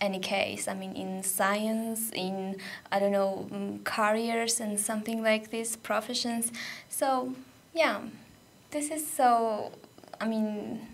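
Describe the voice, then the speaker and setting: A woman speaks very slowly in a fairly high voice with ordinary pitch variation. Room echo is audible. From Georgia. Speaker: radio volunteer. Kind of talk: radio interview. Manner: halting, many fillers.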